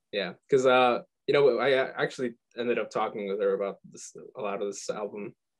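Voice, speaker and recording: A man's medium-pitched voice in a Midwestern US accent, with ordinary pitch variation and big swings in loudness. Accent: US Midwest. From Michigan, US. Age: 20s. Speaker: musician. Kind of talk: interview. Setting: video call. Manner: halting, stuttering.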